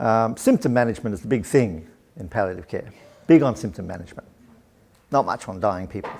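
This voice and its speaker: Talking at a very fast pace with lively intonation, a man with a fairly low pitch leaves long, frequent pauses as his loudness swings widely. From Australia. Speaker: professor and researcher. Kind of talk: lecture.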